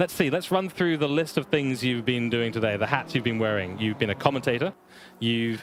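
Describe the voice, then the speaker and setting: Against noticeable background noise, a man speaks in a medium pitch with ordinary pitch variation. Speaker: sim racing commentator. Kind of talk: live stream commentary chat. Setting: online live stream over internet connection.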